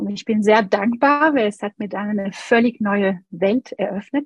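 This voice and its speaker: A woman's somewhat breathy voice, medium in pitch, with ordinary pitch variation and a fairly slow pace. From France. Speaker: Montessori educator and pianist. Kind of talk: interview.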